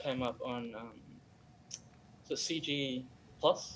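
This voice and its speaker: The speaker is a man. He has an Australian accent. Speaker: game character artist. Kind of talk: live stream interview. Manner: halting, many fillers.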